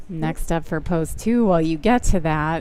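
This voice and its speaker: With audible room echo, a woman speaks at a fairly slow pace in a fairly low voice with fairly even intonation. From US Midwest. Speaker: baseball play-by-play commentator. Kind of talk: live sports commentary.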